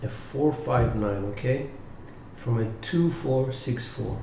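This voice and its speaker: Lively intonation from a man at a medium pitch, a very slow pace and audible room echo. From Cyprus. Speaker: dice coach. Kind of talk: live tutorial. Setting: live stream.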